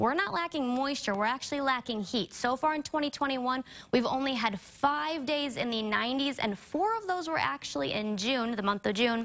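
A high-pitched woman talks at a moderate pace with hardly any pauses. Her tone is upbeat and her intonation lively. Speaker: TV meteorologist. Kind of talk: weather report. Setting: TV studio. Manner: brisk, upbeat, conversational. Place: studio.

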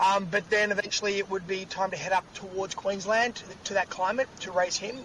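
A man's high voice with an Australian accent, fairly quick and monotone, flat in intonation, in a dry sound with no echo and light background noise. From Australia, Sydney (Bondi); Sydney. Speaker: actor. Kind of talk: casual chat. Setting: outdoors. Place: car. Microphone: video call.

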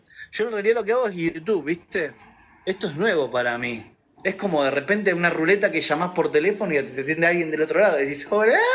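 The delivery is very fast and animated, with lively intonation. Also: man, high pitch for a man. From Argentina, Buenos Aires (Ramos Mejía); Argentina. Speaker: YouTuber and live streamer; YouTuber, live streamer. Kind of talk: casual livestream chat. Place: home room. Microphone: phone near.

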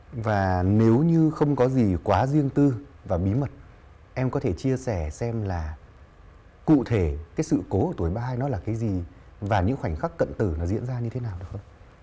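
A man speaks at a moderate pace in a dark, mellow, somewhat breathy tone. His pitch swings very widely. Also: medium pitch for a man. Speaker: talk show host. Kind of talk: interview. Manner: formal. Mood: warm, smiling, friendly. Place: studio. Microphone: lapel.

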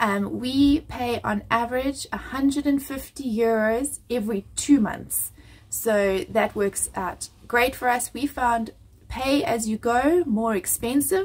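At a very slow pace, a woman speaks with a high pitch and ordinary pitch variation. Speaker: family vlogger. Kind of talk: casual vlog chat. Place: home room. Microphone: phone near.

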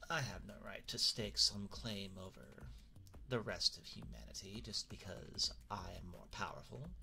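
A man puts on a character voice at a moderate pace. Clear background noise runs underneath. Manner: courteous, playful, wistful.

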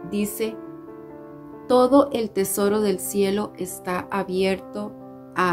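A woman's warm tone over clear music in the background. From Costa Rica. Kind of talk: religious devotional talk. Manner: warm, friendly. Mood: warm, gentle, earnest. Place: home room. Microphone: phone near.

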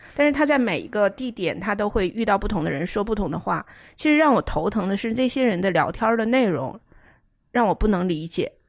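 With a fairly high pitch that swings very widely, a woman speaks at a fairly quick pace against a quiet background. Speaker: book editor. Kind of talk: casual discussion of a book. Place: home room.

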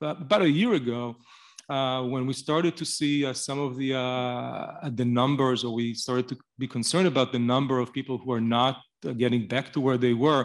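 The background is silent. Over it, a man talks. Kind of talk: speech at event. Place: hall. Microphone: podium.

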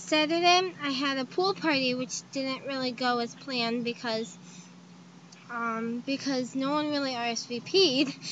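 With a raised, projected voice, a woman talks at a fairly slow pace with ordinary pitch variation, the sound dry with no echo and light background noise behind her. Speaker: vlogger. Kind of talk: casual vlog chat. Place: tent. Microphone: webcam.

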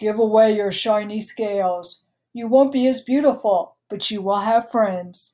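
A woman puts on a character voice, fairly high in pitch, at a moderate pace. The recording is very clean with a silent background. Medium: read story. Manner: calm, wise, advising.

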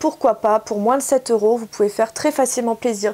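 A woman speaks with ordinary pitch variation. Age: 40s. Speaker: beauty YouTuber. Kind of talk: product haul review. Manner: casual, hesitant with frequent 'euh'. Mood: cheerful, enthusiastic. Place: home room. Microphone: camera far.

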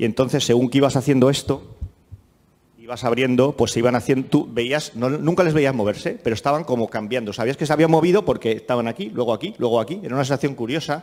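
Over a quiet background, a man delivers his words at a very fast pace, his pitch varying in an ordinary way. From Spain, Madrid. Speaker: technology company director; speaker. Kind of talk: conference talk. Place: hall. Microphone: handheld.

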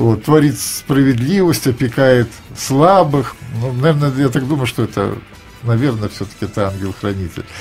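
Faint music plays in the background. A man speaks at a moderate pace. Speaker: radio host. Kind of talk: radio interview questions. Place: studio.

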